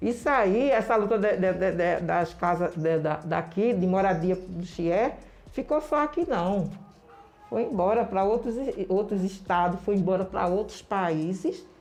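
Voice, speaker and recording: A woman's medium-pitched voice, very even in loudness, with lively intonation and a fairly slow pace. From Recife, Brazil. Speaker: community leader. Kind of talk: interview. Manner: halting.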